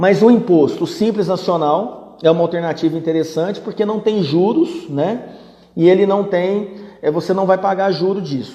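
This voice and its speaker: Noticeable background noise behind a man with a high pitch. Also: ordinary pitch variation, moderate pace. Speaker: business management teacher. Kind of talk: live-stream Q&A. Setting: live stream. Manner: conversational.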